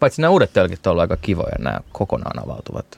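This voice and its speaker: Vocal fry marks a man's fairly low voice, which has lively intonation and a dry, close sound with no echo. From Finland, Turku. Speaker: beer festival organizer. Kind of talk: casual chat.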